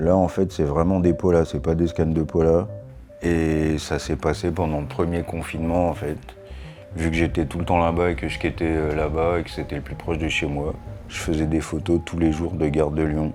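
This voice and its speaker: Over music in the background, a man speaks at a moderate pace in a very deep, low voice with monotone, flat intonation. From France. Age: 40s. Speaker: skateboarder and photographer. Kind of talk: documentary interview. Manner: casual, conversational.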